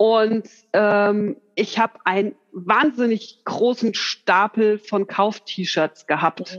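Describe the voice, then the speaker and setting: Speaking very slowly, a woman uses a medium pitch and ordinary pitch variation. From Hesse, Bad Homburg. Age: 40s. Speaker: hobby seamstress, course participant. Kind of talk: interview chat. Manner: hesitant, many fillers.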